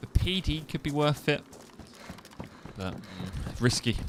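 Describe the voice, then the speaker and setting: A man with an East Midlands accent speaks with lively intonation over noticeable background noise. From East Midlands, England (Kettering, Northamptonshire). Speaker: gaming streamer. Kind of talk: live gameplay stream commentary. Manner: casual, rambling.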